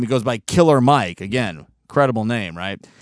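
A man's lively, varied intonation at a moderate pace, with a quiet background. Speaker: podcast host. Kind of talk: casual monologue. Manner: ornery.

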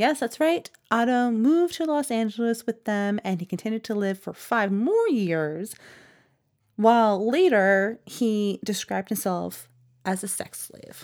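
A woman speaks at a fairly slow pace in an unremarkable speaking voice, her fairly high pitch carried by lively intonation. Her loudness swings widely, and the very clean recording has a silent background. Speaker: podcast host. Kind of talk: scripted narration with casual banter.

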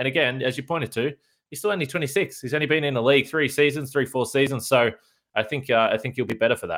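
Ordinary pitch variation comes through in an Australian accent. The recording is very clean, with a silent background. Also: man. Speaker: sports podcast host. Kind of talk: interview.

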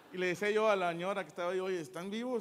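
In a central Mexican accent, a man talks with ordinary pitch variation. His pitch is high. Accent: Mexican, central Mexico. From Mexico, Cuautla (Morelos). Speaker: stand-up comedian. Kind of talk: stand-up comedy. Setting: stage with audience. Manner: animated, profane, rapid-fire storytelling; self-deprecating, jokey, conversational with audience.

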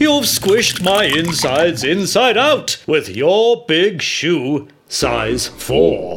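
Using a put-on character voice, a man speaks at a very slow pace and high pitch with hardly any pauses. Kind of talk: comic rhyming children's verse. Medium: read story. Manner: whimpering, pitiful, plaintive.

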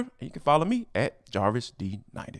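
Speaking at a fairly quick pace in an animated tone, a man comes through on a very clean recording with a silent background. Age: 40s. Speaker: sports podcaster. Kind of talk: casual chat.

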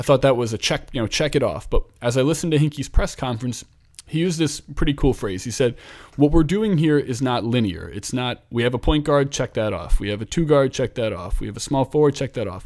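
A man speaks in a normal speaking voice at a medium pitch, with an American accent and a fairly quick pace. The recording is very clean, with a silent background. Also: lively intonation. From Philadelphia, US. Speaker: podcast host, NBA commentator. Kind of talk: casual sports talk chat.

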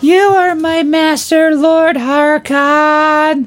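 A put-on character voice talks at a very slow pace in a high pitch. Music plays in the background. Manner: monotone.

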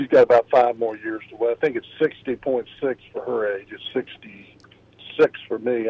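A man's moderately paced speech plays against noticeable background noise. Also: hardly any pauses, big swings in loudness. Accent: American. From US, Virginia. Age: 60s. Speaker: caller, retiree and business owner. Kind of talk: radio call-in question. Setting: phone call. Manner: halting.

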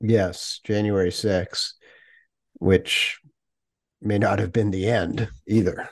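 A man speaks at a very slow pace in a flat monotone. He leaves long, frequent pauses over a quiet background. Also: fairly low pitch for a man. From New England. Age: 60s. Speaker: podcast host. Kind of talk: interview. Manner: halting.

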